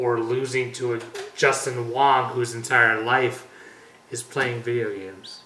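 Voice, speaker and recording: Speaking fairly slowly at a medium pitch, a man keeps a monotone, flat intonation while his loudness swings widely. Noticeable background noise and audible room echo sit behind him. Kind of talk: casual chat.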